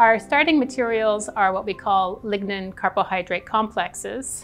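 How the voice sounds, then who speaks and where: Moderate pace and ordinary pitch variation from a woman. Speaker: professor researcher. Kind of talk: interview answer. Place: hall. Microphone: lapel.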